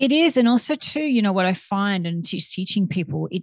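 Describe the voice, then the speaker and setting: A woman's somewhat breathy voice comes through in a dry, close sound with no echo. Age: 50s. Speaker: clinical psychotherapist. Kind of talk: interview.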